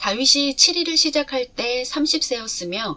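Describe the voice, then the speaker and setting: A woman is speaking. Her pace is fairly slow. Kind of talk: scripture reading.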